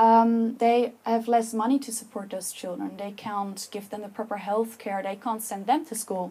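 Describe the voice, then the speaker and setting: A woman with a Dutch accent speaks at a moderate pace and a fairly high pitch. Her tone is dark and mellow, somewhat breathy, with fairly even intonation. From Netherlands. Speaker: public speaker. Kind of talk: talk to an audience. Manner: passionate.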